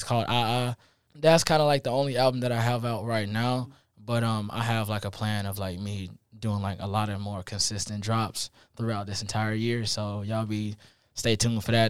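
This man has a normal speaking voice with fairly low pitch. He talks at a moderate pace, his intonation fairly even. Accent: American. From Columbia, South Carolina. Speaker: college student musician. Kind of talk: casual interview. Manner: casual, filler-heavy.

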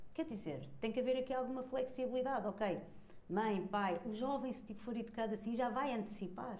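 Someone with a European Portuguese accent speaks at a moderate pace amid audible room echo. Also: woman. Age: 40s. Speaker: conscious parenting coach. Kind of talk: casual chat.

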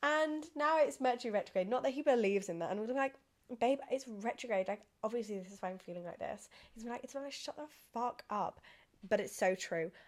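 Very fast and animated in tone, a woman speaks at fairly high pitch with an English accent. Her intonation is lively and her loudness swings widely. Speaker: podcast host. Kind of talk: casual chat.

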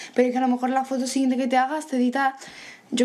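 The speaker is a woman. Her pitch is high. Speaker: podcast host. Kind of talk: casual chat.

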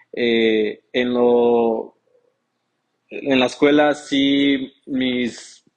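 Medium pitch from a man. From Mexico, raised in the US from age 8. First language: English (speaking Spanish). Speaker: returned migrant, real estate worker. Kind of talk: interview.

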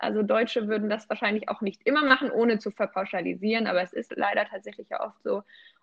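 A woman talking at a very fast pace, with hardly any pauses. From rural Germany. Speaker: travel podcast co-host. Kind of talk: casual chat.

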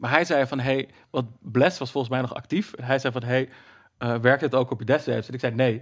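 In a very clean recording with a silent background, a man with an unremarkable speaking voice talks at a fairly quick pace, medium in pitch, with fairly even intonation. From Netherlands, Zeeland. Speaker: dungeon master. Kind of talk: casual chat.

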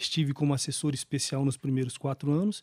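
Talking at a very fast pace, a man with a fairly high pitch, a dark, mellow tone and a somewhat breathy voice keeps his intonation fairly even in a very clean recording with a silent background and a dry, close sound with no echo. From Brazil, Campo Grande (Mato Grosso do Sul). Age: 40s. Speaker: municipal human rights official. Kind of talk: interview.

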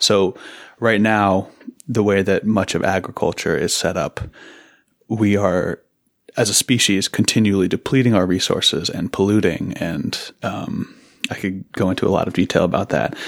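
Fairly low-pitched, a man with an American accent speaks in an ordinary speaking voice. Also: fairly even intonation, moderate pace. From Seattle, Washington. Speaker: farmer. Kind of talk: interview conversation. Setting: in-person in an office.

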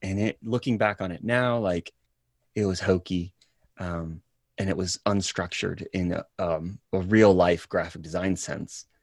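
With a normal speaking voice, a man talks at a moderate pace and a fairly low pitch with fairly even intonation, in a very clean recording with a silent background and a dry, close sound with no echo. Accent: American. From US South. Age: 30s. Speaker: actor. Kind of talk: casual chat.

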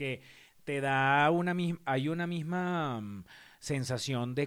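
A man has an ordinary speaking voice at a fairly high pitch, with ordinary pitch variation. The recording is very clean and the background silent. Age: 40s. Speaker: podcast co-host. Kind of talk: casual chat.

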